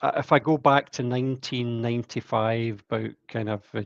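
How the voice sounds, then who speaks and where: With a Scottish accent, a man at medium pitch speaks at a moderate pace with fairly even intonation, the sound dry and close with no echo against a quiet background. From Scotland, Glasgow. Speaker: sales engineer and rock musician. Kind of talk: interview.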